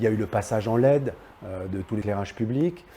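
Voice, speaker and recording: This man talks at a fairly quick pace in a fairly low pitch with ordinary pitch variation. His tone is dark and mellow, and somewhat breathy. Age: 60s. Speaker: local politician. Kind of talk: political statement to camera. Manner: halting, many hesitations.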